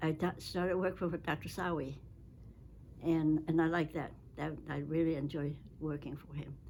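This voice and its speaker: A woman speaks with a very deep, low pitch in a monotone, flat intonation. Long, frequent pauses break up her speech. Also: moderate pace. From China. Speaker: retired medical researcher. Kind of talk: interview. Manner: halting.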